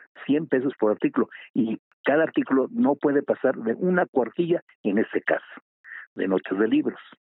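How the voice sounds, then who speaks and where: Keeping his loudness very even, a man speaks at a moderate pace with very wide pitch swings. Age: 80s+. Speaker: writer. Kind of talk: interview.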